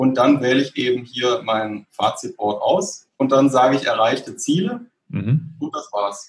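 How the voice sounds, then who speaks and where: A man speaks at a fairly slow pace. He leaves hardly any pauses. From southern Germany, Stuttgart area. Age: 30s. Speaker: software developer. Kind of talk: casual interview. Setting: home office.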